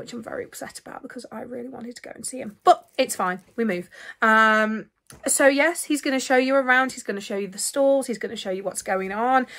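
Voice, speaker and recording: Over a quiet background, a high-pitched woman talks at a fairly quick pace with ordinary pitch variation and big swings in loudness. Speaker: vlogger. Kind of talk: casual vlog chat. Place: home room. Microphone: phone near.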